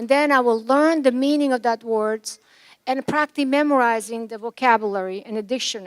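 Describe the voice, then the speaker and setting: A Yugoslav accent with ordinary pitch variation, dry and close with no echo. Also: woman. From former Yugoslavia. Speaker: commencement speaker, physician. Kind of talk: commencement speech.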